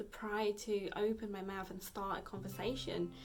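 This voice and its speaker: A woman talks at a fairly slow pace with monotone, flat intonation. Audible room echo surrounds her voice. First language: Vietnamese. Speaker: fitness vlogger. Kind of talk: casual vlog talk. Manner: halting, many fillers.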